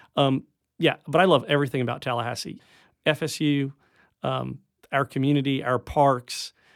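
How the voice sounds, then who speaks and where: A man with an unremarkable speaking voice, fairly high in pitch, at a moderate pace with fairly even intonation, in a very clean recording with a silent background and a dry, close sound with no echo. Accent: American. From upstate New York. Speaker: science center director. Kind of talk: radio interview. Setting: radio studio.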